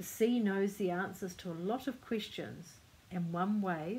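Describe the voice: The reading aloud is plain, and its pitch varies in an ordinary way.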